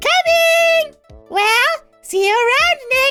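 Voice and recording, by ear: A put-on character voice at an extremely high pitch speaks at a very slow pace in a cheerful tone, with faint music in the background.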